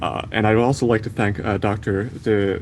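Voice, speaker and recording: Noticeable background noise sits behind a man whose voice is fairly low. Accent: American. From USA. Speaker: medical student. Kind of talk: conference talk.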